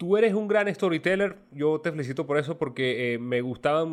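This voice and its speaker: An unremarkable speaking voice from a man, fairly quick with lively intonation. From Venezuela. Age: 30s. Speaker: podcast host. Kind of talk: casual interview.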